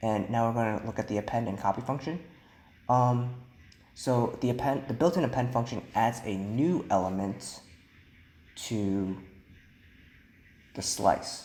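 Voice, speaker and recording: A soft-spoken man at medium pitch, fairly slow pace, ordinary pitch variation, and long, frequent pauses. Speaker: programming instructor. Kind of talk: tutorial.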